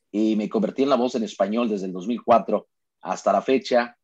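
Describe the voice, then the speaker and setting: A man speaks at a medium pitch and a moderate pace against a quiet background. He has an unremarkable speaking voice. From Mexico, Sonora (Cananea). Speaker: basketball play-by-play announcer. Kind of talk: casual interview chat.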